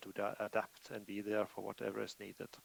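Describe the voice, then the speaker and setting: With a Norwegian accent and vocal fry, a man talks at a moderate pace. The sound is dry and close, with no echo. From Norway. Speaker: IT professional presenter. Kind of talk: conference presentation. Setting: remote video call to conference. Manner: hesitant, many fillers.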